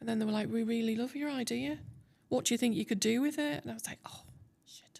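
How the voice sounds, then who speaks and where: A fairly quick pace on a very clean recording with a silent background. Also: woman. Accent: Teesside. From Teesside, England. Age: 60s. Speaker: TEDx speaker, tech consultant. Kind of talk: interview answer. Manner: candid, casual.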